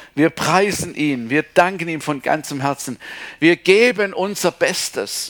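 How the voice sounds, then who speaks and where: A man speaks very slowly with lively intonation. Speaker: preacher. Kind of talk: sermon. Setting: church. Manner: animated, emphatic; warm, conversational, with repeated Amen/Halleluja.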